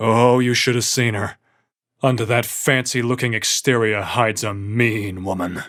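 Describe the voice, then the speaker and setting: A man's growling, put-on character voice at a medium pitch and moderate pace, fairly even in intonation, in a very clean recording with a silent background. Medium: read story.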